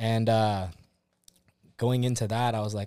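Fairly quick and fairly low-pitched, a man with an American accent talks in a plain, everyday voice with fairly even intonation. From Southern California, Orange County. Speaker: firefighter and gambler. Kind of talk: casual chat.

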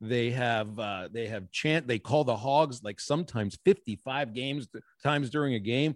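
On a very clean recording with a silent background, a man with an American accent has an unremarkable speaking voice, medium pitch, ordinary pitch variation, and a moderate pace. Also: dry, close sound with no echo. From Pittsburgh, Pennsylvania. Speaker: baseball play-by-play broadcaster. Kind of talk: interview conversation.

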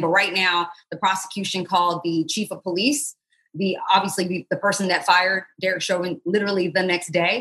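A woman speaks at a moderate pace and medium pitch. Her tone is bright and sharp. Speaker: legal analyst and TV correspondent. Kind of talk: casual interview.

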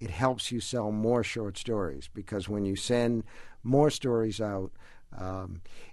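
With ordinary pitch variation, the voice reads in an unforced way.

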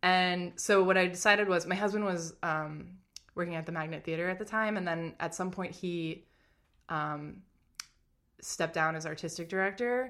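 A woman speaks in a normal speaking voice at a fairly low pitch and a moderate pace. Her intonation stays fairly even over a quiet background. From Massachusetts, Boston suburbs. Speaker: comedy writer. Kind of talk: casual interview.

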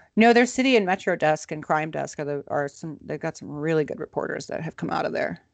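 A woman with a very deep, low pitch and vocal fry talks very fast with hardly any pauses. Her intonation is lively, her loudness swings widely, and the sound is dry and close with no echo. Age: 40s. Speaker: podcast co-host. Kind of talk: casual chat.

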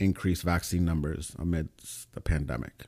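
On a very clean recording with a silent background, a man with a New York accent speaks in a very deep, low voice of dark, mellow tone and fairly even intonation. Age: 30s. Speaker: pre-med student. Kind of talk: casual chat.

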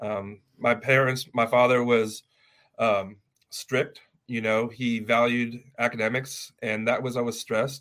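In a Californian accent, a man talks at a fairly slow pace with a medium pitch and monotone, flat intonation. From Los Angeles, California. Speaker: family lawyer. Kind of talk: interview.

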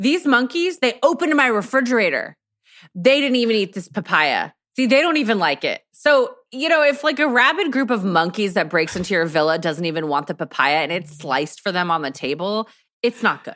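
A woman with an American accent speaks at a fairly quick pace in a fairly high pitch. Her pitch swings very widely, on a very clean recording with a silent background. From Texas. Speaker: podcaster and content creator. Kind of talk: casual chat.

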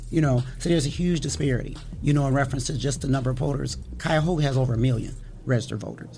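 Audible room echo surrounds a woman with an American accent whose very deep, low voice is dark, mellow and somewhat breathy. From Toledo, Ohio. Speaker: elections official. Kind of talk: interview. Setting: studio.

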